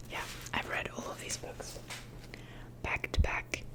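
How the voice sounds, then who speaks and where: Noticeable background noise accompanies a whispered voice. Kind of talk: ASMR poetry reading. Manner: soft, whispered.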